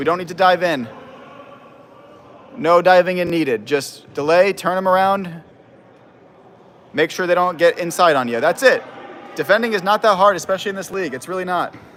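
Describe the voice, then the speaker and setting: Over noticeable background noise, a loud, high-pitched man talks at a fairly quick pace with ordinary pitch variation and long, frequent pauses. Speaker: amateur football commentator. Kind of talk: live commentary. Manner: animated.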